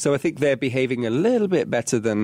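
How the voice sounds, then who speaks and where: This man has an English accent and a medium pitch, with lively intonation. The sound is dry and close, with no echo. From England, working-class area. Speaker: podcast co-host. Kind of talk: casual chat.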